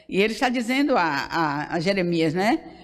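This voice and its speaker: With very wide swings in pitch, a woman speaks fairly slowly amid audible room echo. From Brazil, Bahia interior. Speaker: pastor. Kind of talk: sermon.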